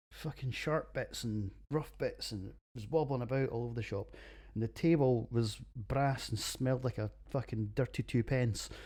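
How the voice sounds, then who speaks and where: A Scottish accent at a moderate pace, in a very clean recording with a silent background. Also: man. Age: 40s. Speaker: podcast host, beer reviewer. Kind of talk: casual monologue podcast. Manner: animated.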